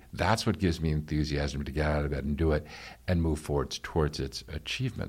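With an American accent, a man speaks fairly quickly at a very deep, low pitch with vocal fry, on a very clean recording with a silent background. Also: ordinary pitch variation. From New York. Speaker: real estate executive and leadership coach. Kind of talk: interview. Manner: frequent hesitations and repeated words.

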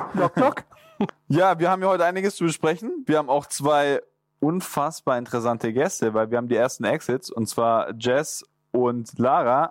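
A man talks in an ordinary speaking voice, fairly high in pitch, at a moderate pace. His loudness stays very even. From Swabia, southern Germany. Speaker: podcast co-host, former winner of the show. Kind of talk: casual chat.

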